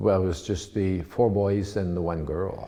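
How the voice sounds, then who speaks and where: With an Ontario accent and fairly even intonation, a man speaks amid audible room echo. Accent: Canadian English, Ontario. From Ontario, Canada (Penetanguishene). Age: 80s+. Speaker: local businessman and politician. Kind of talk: oral history interview. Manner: halting, many fillers and restarts.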